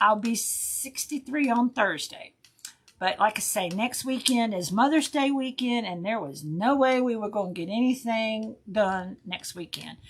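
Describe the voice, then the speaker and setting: A woman speaks at a fairly slow pace, her intonation lively and her tone animated. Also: fairly high pitch for a woman. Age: 60s. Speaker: craft livestream host. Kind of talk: casual chat. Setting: livestream.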